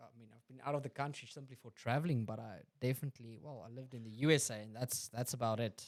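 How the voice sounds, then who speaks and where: A man's medium-pitched voice with a South African accent, very fast with hardly any pauses, fairly even intonation and big swings in loudness. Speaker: podcast host. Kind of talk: casual chat.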